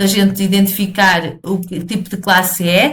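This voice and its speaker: A woman speaks at a medium pitch in a European Portuguese accent. Audible room echo surrounds her voice. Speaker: programming teacher. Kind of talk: video lesson tutorial. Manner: halting, many fillers and repetitions.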